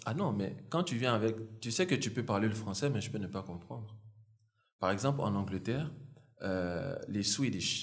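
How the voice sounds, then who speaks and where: Audible room echo surrounds a man speaking at a moderate pace with a fairly low, somewhat breathy voice, lively intonation and long, frequent pauses. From Côte d'Ivoire, moved to Paris around age seven. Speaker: podcast host. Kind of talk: interview.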